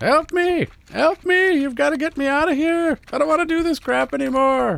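Someone uses a high-pitched put-on character voice at a moderate pace. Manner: yelling, desperate.

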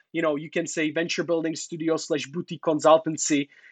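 Against a quiet background, a man speaks in a Czech accent. His fairly high pitch stays monotone and flat. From Czech Republic. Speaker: entrepreneur and consultant in China. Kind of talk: interview.

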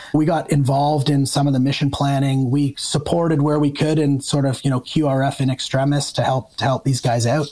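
A man with a Canadian accent speaks fairly quickly in a fairly high, monotone voice, with very even loudness and hardly any pauses, over noticeable background noise. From Ontario, Canada (north of Toronto). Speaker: retired army officer turned investor. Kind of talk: casual interview conversation.

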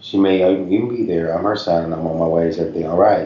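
Someone with an American accent talks at a fairly quick pace with ordinary pitch variation, and audible room echo surrounds the voice. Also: man. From Tennessee, Knoxville, with time in Ohio. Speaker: author and caregiver advocate. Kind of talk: interview conversation. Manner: halting, with frequent fillers.

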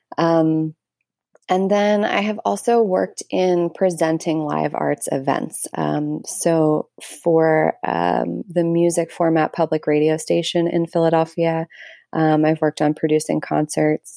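A woman's very deep, low voice with a dark, mellow tone, fairly slow, with ordinary pitch variation and very even loudness, on a very clean recording with a silent background and a dry, close sound with no echo. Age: 30s. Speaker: essayist and arts presenter. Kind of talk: casual interview. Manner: halting, many fillers.

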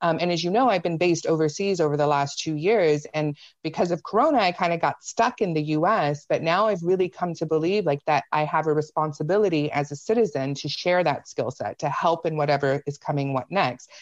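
A woman with an American accent talks at a fairly quick pace in a plain, everyday voice, pitched fairly low with ordinary pitch variation. The background is quiet. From US South, Spartanburg, South Carolina. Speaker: political analyst. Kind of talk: casual chat.

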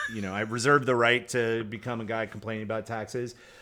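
A man speaks at a fairly quick pace, with a medium pitch. His tone is bright and sharp. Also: very clean recording, silent background. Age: 40s. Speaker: podcast co-host, former blogger. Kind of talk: casual chat. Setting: home garage. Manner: animated.

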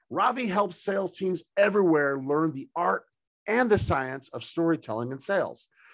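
At a moderate pace, a man talks with an animated tone, a high pitch and lively intonation. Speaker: podcast host. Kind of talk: interview.

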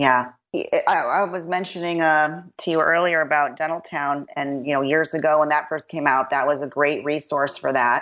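The delivery moves at a moderate pace with fairly even intonation. There is a slight Chicago accent. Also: woman, very deep, low pitch for a woman. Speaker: dentist. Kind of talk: casual chat.

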